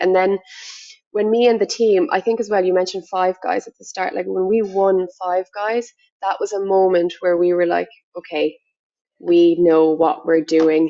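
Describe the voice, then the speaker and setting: A woman with a medium pitch delivers her words at a moderate pace. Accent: Limerick. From Ireland, Limerick. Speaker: agency director, business owner. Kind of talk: podcast interview. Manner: animated.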